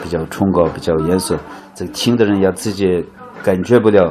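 Noticeable background noise surrounds a man whose voice is very deep and low. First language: Uyghur (speaking Chinese). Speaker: muqam folk musician and expert. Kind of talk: interview.

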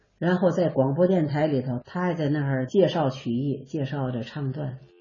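The voice is somewhat breathy, and its intonation is lively. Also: woman. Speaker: traditional ballad singer and teacher. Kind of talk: interview reminiscence. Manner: animated.

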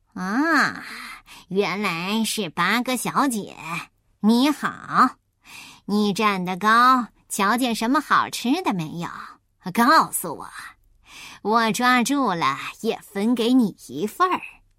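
A woman puts on a gruff character voice, pitched fairly high. She speaks at a very slow pace. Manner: gruff, friendly.

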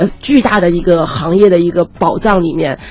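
A woman talks at a moderate pace. Background noise is noticeable throughout. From Ningbo, Zhejiang, China. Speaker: marketing and PR strategist. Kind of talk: radio interview.

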